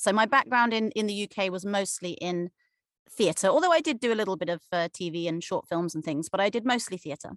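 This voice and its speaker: Someone with an English accent talks at a fairly quick pace with lively intonation. The sound is dry and close with no echo, against a quiet background. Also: woman, medium pitch for a woman. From Cornwall, England. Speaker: actor. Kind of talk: interview. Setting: video call.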